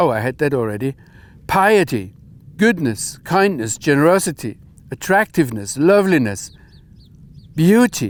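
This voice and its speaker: A man with a German accent speaks at a moderate pace with fairly high pitch. His pitch swings very widely, and he takes long, frequent pauses. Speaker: Bible teacher. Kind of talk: bible teaching talk.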